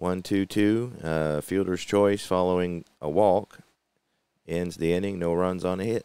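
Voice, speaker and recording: A man with a very deep, low pitch speaks at a fairly slow pace in a relaxed, dark, mellow tone. His intonation is fairly even, and the sound is dry with no echo. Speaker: tabletop baseball game channel host. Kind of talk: solo gameplay commentary video. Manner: relaxed, hesitant with many fillers.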